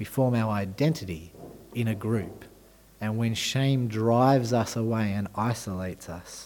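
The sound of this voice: An unforced reading voice carries the whole clip.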